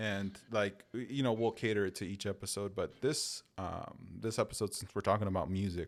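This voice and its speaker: A man's plain, everyday voice with an American accent, fairly low in pitch, at a moderate pace, in a very clean recording with a silent background. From Chicago. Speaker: podcast host. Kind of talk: casual chat.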